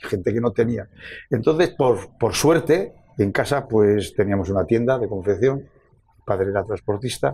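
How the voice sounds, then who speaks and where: A man speaks with lively intonation and a dark, mellow tone. His voice is somewhat breathy. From Navarre, Spain (Tudela, Ribera). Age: 80s+. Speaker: football coach, coaches' association president. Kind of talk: interview.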